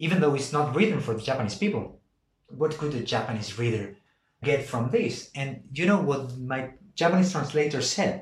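A man's fairly high, somewhat breathy voice with an Andalusian accent, lively intonation and a moderate pace. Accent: Spanish (Andalusian) accent in daily life. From Argentina (Buenos Aires), raised also in Andalusia, Spain. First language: Spanish. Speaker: novelist. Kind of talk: interview about his book. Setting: podcast interview.

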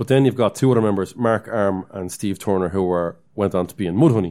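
On a very clean recording with a silent background, a man with a fairly low pitch speaks at a fairly quick pace in an Irish accent. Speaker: podcast co-host. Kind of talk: casual chat.

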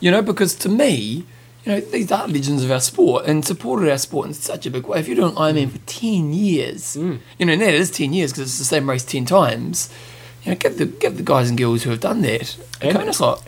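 Speaking with a New Zealand accent, a man uses lively intonation. His pace is fairly quick. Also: fairly high pitch for a man. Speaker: podcast host.

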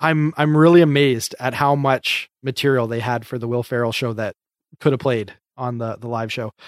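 A man in a normal speaking voice, medium-pitched, talks at a moderate pace with fairly even intonation. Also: dry, close sound with no echo. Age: 30s. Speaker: podcast host. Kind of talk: casual chat. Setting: video call.

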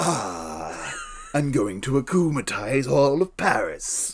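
This is a put-on character voice with a menacing tone. The pace is very slow. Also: man, fairly high pitch for a man. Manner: menacing, villainous.

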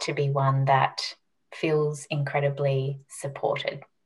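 At a very slow pace, a woman speaks in a very deep, low, somewhat breathy voice. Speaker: health and mindset coach. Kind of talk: interview.

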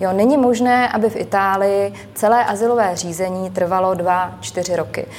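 Speaking at a moderate pace with hardly any pauses, a woman of medium pitch keeps a fairly even intonation over noticeable background noise. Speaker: member of European Parliament. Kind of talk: televised political debate.

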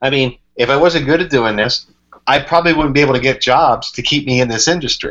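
A man's ordinary speaking voice with an American accent, fairly high in pitch, at a fairly quick pace with ordinary pitch variation. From Pennsylvania, Berks County. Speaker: sports radio reporter and play-by-play announcer. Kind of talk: casual interview chat.

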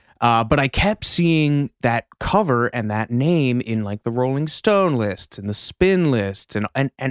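In a very clean recording with a silent background, a man with an American accent speaks at a medium pitch with very wide pitch swings, the sound dry and close with no echo. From US Midwest. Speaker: podcast co-host. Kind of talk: casual chat.

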